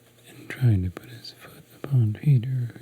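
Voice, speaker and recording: A man whispers, soft-spoken throughout. Noticeable background noise runs underneath. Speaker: asmr creator. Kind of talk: asmr bedtime story reading. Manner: soft-spoken, whispered.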